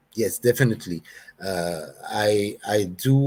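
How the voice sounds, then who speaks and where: A man is speaking. He has a non-native accent. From Belgium. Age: 60s. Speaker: hair treatment customer. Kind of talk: interview. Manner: halting.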